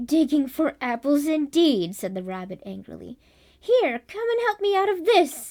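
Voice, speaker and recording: Using a put-on character voice, a woman talks at a moderate pace in a high pitch with very wide pitch swings. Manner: angry.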